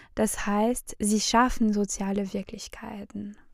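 A woman's dark, mellow tone at a very slow pace. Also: very clean recording, silent background. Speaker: podcast co-host. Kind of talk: academic discussion.

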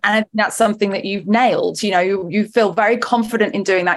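Speaking at a fairly quick pace, a woman has an ordinary speaking voice with medium pitch and fairly even intonation. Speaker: podcast host. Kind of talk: interview.

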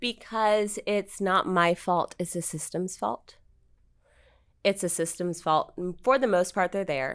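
On a very clean recording with a silent background, a woman with a normal speaking voice talks at a fairly slow pace, her pitch medium and its variation ordinary. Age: young. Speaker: attorney. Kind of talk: casual chat.

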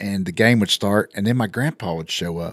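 A man with a West Texas accent speaks at a moderate pace with a fairly low pitch. The sound is dry and close, without echo. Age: 50s. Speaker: business co-owner and podcast host. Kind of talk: casual chat.

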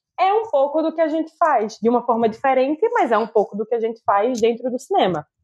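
Speech moves at a fairly quick pace. Its intonation is lively. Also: woman, high pitch for a woman. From Recife, Brazil. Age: 20s. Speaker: film director and producer. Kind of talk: casual interview chat.

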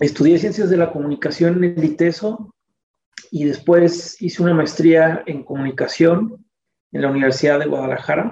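Speaking at a moderate pace, a man with a high pitch and a dark, mellow tone shows ordinary pitch variation. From Mexico City. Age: 40s. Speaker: communication researcher and academic. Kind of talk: interview. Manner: halting, many fillers.

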